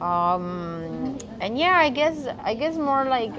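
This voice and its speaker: Amid noticeable background noise and audible room echo, a woman speaks with a fairly high pitch and very wide pitch swings. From Mexico. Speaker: chef and restaurant owner. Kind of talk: casual interview.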